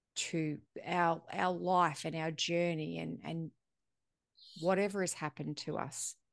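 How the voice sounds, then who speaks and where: A fairly low female voice in an Australian accent, at a fairly slow pace with long, frequent pauses and fairly even intonation, against a quiet background. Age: 40s. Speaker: podcast host. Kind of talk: casual interview chat.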